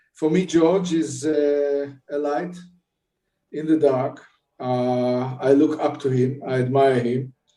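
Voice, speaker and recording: At a very slow pace and with fairly even intonation, the speech carries audible room echo with music in the background. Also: man. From Israel, Jerusalem. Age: 70s. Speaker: bereaved father and peace activist. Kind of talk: testimony.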